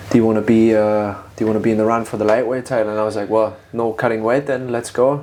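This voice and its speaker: A man talks at a very fast pace in a medium pitch with monotone, flat intonation. Noticeable background noise runs behind him. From Germany (Berlin). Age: 30s. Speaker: podcast host, martial artist. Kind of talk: casual interview chat.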